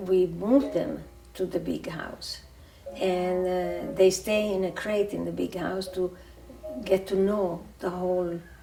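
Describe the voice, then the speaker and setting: A woman's voice carries audible room echo. Noticeable background noise sits behind it. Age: 80s+. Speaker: cat sanctuary founder. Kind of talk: documentary interview monologue. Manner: halting, with many fillers.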